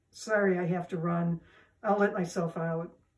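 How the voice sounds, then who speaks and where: In a croaky put-on character voice, the speaker talks at a moderate pace with monotone, flat intonation. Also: woman, fairly low pitch for a woman. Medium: read story. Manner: nervous, hesitant.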